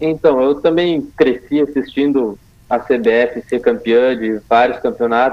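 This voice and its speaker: A man's very slow delivery with fairly even intonation. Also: medium pitch for a man. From Rio Grande do Sul, Brazil. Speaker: futsal player. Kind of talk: interview.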